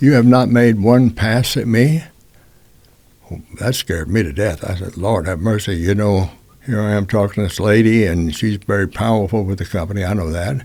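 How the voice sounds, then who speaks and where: This man talks at a moderate pace with a Texan accent, his fairly low voice showing ordinary pitch variation. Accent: Texas Southern US. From Texas. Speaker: music industry veteran. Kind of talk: storytelling. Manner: conversational, with frequent fillers.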